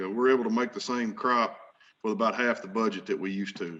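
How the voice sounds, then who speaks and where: Speaking with an Arkansas accent, a man keeps a fairly quick pace and fairly even intonation. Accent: Southern US (Arkansas). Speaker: farmer. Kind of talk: conference panel presentation. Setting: virtual meeting. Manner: casual, folksy.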